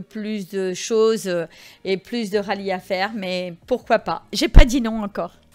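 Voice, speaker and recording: A woman's medium-pitched voice at a very slow pace, fairly even intonation, very clean recording, silent background. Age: 60s. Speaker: rally participant. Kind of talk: interview. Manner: halting.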